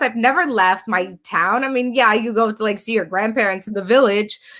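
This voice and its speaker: Speaking with a Californian accent, a woman uses a fairly high pitch, a bright, sharp, animated tone and lively intonation. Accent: Californian English, picked up after moving. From Romania. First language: Romanian. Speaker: business founder. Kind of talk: interview, personal story. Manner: fast.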